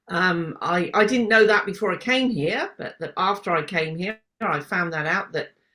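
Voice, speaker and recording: A woman speaks with a bright, sharp tone and lively intonation at a fairly slow pace. The recording is very clean, with a silent background. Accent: British. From UK. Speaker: podcast host. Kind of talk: casual interview chat.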